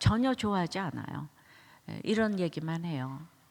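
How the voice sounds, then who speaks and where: The recording is very clean with a silent background, carrying a woman's fairly low-pitched voice. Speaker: pastor. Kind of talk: sermon. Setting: church. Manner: conversational, anecdotal.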